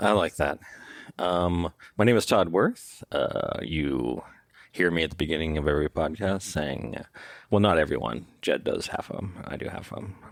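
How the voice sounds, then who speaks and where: A man speaks with a very deep, low voice and vocal fry. His pitch varies in an ordinary way at a moderate pace. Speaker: tech company CEO and podcast intro voice. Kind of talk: casual chat; scripted podcast intro.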